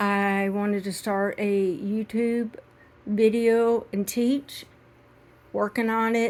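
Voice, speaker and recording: A woman's fairly high pitch, flat monotone intonation and very slow pace. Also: very clean recording, silent background. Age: 60s. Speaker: crochet teacher. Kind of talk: tutorial. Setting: at home in rocking chair. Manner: halting.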